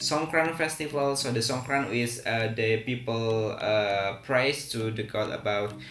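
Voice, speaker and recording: In an Indonesian accent, the speaker goes at a fairly slow pace with ordinary pitch variation, amid audible room echo and noticeable background noise. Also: man. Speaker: English teacher. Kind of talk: tutorial. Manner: hesitant, many fillers.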